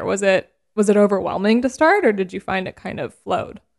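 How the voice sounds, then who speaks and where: A woman's normal speaking voice at medium pitch, fairly quick, with ordinary pitch variation and a dry, close sound without echo. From Canada. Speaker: podcast host. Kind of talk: casual interview chat. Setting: studio.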